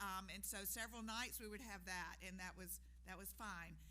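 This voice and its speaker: A woman speaks in an Alabama accent, and room echo is audible. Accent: Southern US (Alabama). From US South, Montgomery, Alabama. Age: 60s. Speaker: nonprofit leader. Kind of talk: public talk. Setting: stage with audience at podium. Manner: loud.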